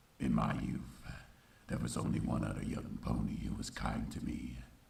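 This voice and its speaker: In a put-on character voice, a man speaks at a moderate pace with a solemn tone, a very deep, low pitch and monotone, flat intonation. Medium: fan dub. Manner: solemn, reflective.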